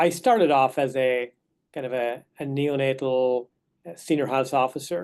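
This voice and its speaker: A man with an Irish accent, medium pitch, and ordinary pitch variation against a quiet background. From west of Ireland. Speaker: neonatologist. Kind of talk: lecture. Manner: hesitant, with fillers and repeated words.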